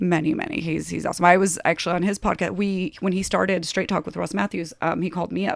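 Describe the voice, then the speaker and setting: A woman with an American accent and vocal fry talks at a very fast pace, with hardly any pauses. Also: fairly low pitch for a woman. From US, Polish immigrant family (came at age two). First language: Polish. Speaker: TV producer. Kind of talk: casual chat. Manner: animated.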